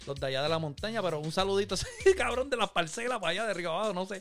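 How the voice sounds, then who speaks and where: A high-pitched man with a Puerto Rican accent and lively intonation, music in the background. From Puerto Rico, Manatí. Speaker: podcast host. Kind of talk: casual chat. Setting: remote recording.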